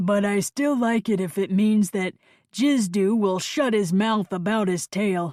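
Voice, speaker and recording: At a fairly slow pace, a put-on character voice with a fairly high pitch comes through on a very clean recording with a silent background. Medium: read story.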